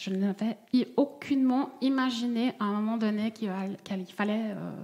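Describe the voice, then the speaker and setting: With a slight Vaud accent, a woman speaks at a moderate pace in a fairly high pitch, with ordinary pitch variation and noticeable background noise. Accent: slight singsong Swiss Vaud. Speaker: jam maker. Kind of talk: coaching conversation. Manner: singsong.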